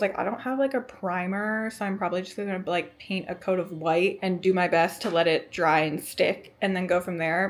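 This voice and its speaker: Here is a woman with a medium pitch and an unremarkable speaking voice. She moves at a fairly quick pace. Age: 20s. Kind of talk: casual vlog talk to camera. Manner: chatty, upbeat.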